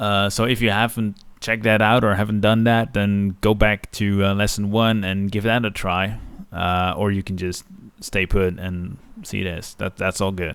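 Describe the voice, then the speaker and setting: Speaking with a Dutch accent, a man delivers his words at a moderate pace in a fairly low, monotone, flat voice. The recording is very clean, with a silent background. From Netherlands. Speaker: digital art teacher. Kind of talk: tutorial. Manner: casual with frequent filler uhs.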